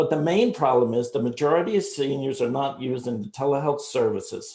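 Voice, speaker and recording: A somewhat breathy man with a New Jersey accent, dark and mellow in tone, with ordinary pitch variation. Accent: New Jersey American. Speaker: startup founder pitching. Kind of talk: sales pitch. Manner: fast.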